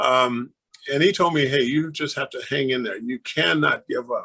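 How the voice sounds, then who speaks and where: A man's fairly high, bright, sharp voice at a fairly quick pace. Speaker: former pro basketball player and mayoral candidate. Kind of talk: interview. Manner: earnest, with frequent filler words.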